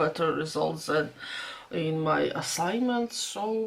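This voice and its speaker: Very slow speech from a woman with a Latvian accent and lively intonation, against noticeable background noise. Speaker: vlogger. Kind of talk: casual vlog talk. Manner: halting.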